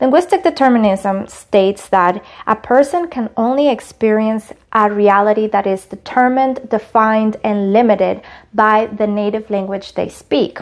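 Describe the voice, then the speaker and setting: A woman with a Spanish accent speaks at a moderate pace in a fairly high voice, with ordinary pitch variation. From Latin America. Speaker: college student. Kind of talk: class presentation.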